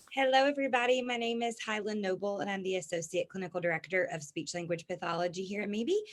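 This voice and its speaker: A woman with a Southern US accent talks at a very fast pace with hardly any pauses. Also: medium pitch for a woman, lively intonation. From Alabama, US South. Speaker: speech language pathologist. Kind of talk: webinar presentation. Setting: online webinar.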